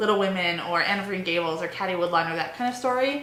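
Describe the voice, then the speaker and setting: A woman races along at a very fast pace and medium pitch, with ordinary pitch variation amid noticeable background noise. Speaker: book blogger. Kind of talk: casual talk to camera. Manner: fast, wordy.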